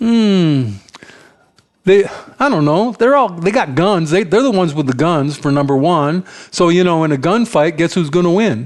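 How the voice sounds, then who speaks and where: A man with an American accent talks at a moderate pace in a high pitch for a man. His intonation is lively while his loudness stays very even. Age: 70s. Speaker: vlogger. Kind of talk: opinion monologue. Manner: halting.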